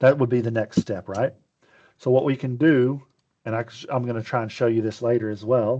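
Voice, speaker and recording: In a Texas accent, a man talks at a fairly quick pace with a dark, mellow tone, a medium pitch and fairly even intonation. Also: quiet background. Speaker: webinar presenter. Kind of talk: webinar demo. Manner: casual, conversational.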